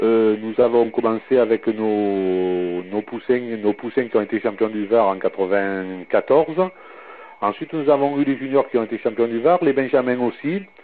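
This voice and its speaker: A man talks at a medium pitch, with noticeable background noise around him. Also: ordinary pitch variation, fairly slow pace. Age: 60s. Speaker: youth football coach and club secretary. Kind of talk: interview. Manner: hesitant, many fillers.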